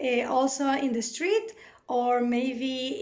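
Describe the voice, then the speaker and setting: Audible room echo surrounds a woman speaking at a very slow pace with a Spanish accent. Her pitch is high, with ordinary pitch variation. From Venezuela. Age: 30s. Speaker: job seeker presenting herself. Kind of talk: self-introduction video. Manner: halting, many fillers.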